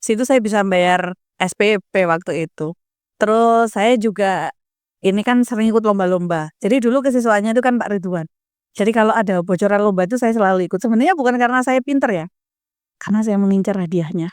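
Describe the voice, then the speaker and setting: A woman's animated, very fast speech at medium pitch with ordinary pitch variation, in a very clean recording with a silent background and a dry, close sound with no echo. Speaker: school alumna with doctorate, educator. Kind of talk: podcast interview. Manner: loud.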